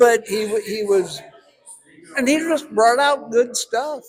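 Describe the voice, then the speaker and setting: A man with a high voice talks very slowly, his intonation lively throughout. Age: 70s. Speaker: actor. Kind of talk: casual interview at movie premiere. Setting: movie premiere at a cinema.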